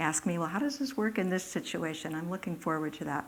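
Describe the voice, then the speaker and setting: The speaker here is a woman. Her voice is medium in pitch. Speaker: economics professor giving a public talk. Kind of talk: public lecture. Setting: lecture hall with live audience. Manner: hesitant, many fillers and false starts.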